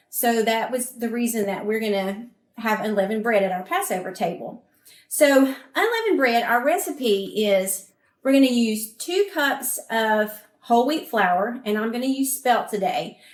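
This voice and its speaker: A woman in a Southern US accent, fairly high-pitched, with lively intonation at a moderate pace. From US South. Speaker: cooking presenter. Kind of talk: cooking demonstration.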